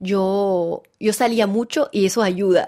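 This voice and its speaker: Her tone is dark and mellow at a medium pitch. The woman speaks with a slight Venezuelan accent. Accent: Spanish with Venezuelan touch. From France, French Alps. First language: French (speaking Spanish). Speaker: actress and theatre director. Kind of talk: interview. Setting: studio. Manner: halting, repeats words.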